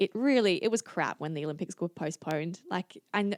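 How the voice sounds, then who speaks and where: A woman's fairly low voice in an Australian accent, very clean with a silent background and a dry, close sound with no echo. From Singapore and Adelaide, Australia. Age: 20s. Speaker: Olympic kayaker and physiotherapist. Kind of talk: podcast interview. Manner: casual, hesitant with fillers.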